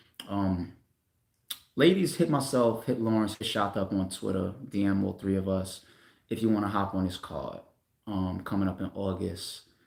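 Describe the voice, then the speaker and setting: A man speaks in a New York accent with a fairly low pitch. His tone is animated. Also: ordinary pitch variation, moderate pace. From Staten Island, New York. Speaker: battle rap league owner. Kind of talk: casual livestream talk. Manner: casual, animated.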